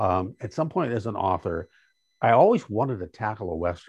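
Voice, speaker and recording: A man speaks at a moderate pace with very wide pitch swings and a somewhat breathy voice, recorded dry and close with no echo against a quiet background. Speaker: author and radio news anchor. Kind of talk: casual interview.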